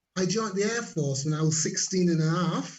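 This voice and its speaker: In a Yorkshire accent, a man speaks with ordinary pitch variation against audible room echo. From Leeds, Yorkshire, northern England. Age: 60s. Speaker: network marketer and former air force cook. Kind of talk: interview. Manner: halting.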